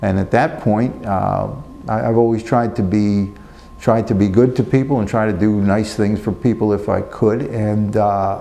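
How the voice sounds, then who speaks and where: A man with an American accent, fairly low in pitch, at a moderate pace with fairly even intonation, against noticeable background noise. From New Jersey. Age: 60s. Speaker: prisoner, former funeral director. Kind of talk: interview answer. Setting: prison. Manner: hesitant, reflective.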